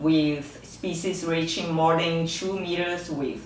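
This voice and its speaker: Over noticeable background noise and audible room echo, a woman talks in a fairly low, monotone, flat voice. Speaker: researcher, fish biologist. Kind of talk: scientific lecture. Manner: halting, with frequent fillers.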